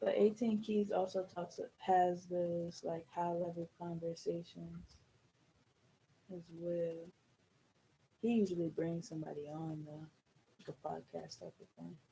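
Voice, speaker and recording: A somewhat breathy woman's voice, fairly low with a dark, mellow tone, big swings in loudness and long, frequent pauses. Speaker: loctician. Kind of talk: casual chat. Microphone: far from the mic.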